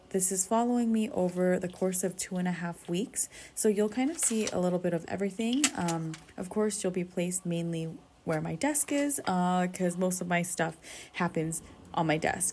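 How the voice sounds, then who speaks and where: In an excited, animated tone, a woman speaks at a moderate pace and medium pitch, somewhat breathy, with ordinary pitch variation. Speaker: planner and study vlogger. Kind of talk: casual voiceover vlog. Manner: usually excited and animated.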